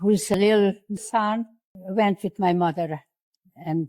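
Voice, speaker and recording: The voice is dark and mellow, with fairly even intonation and long, frequent pauses. The recording is very clean and dry, close with no echo and a silent background. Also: woman. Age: 80s+. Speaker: Holocaust survivor. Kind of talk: interview answer.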